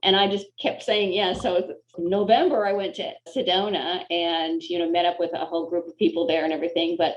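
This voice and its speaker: At a fairly quick pace, a woman speaks in a normal speaking voice of medium pitch with fairly even intonation. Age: 60s. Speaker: chiropractor and former Olympic gymnast. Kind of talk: casual interview.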